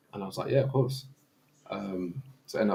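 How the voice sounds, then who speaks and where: A man with a London accent talks at a very fast pace with ordinary pitch variation. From East London. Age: 30s. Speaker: former professional goalkeeper. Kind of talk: casual chat.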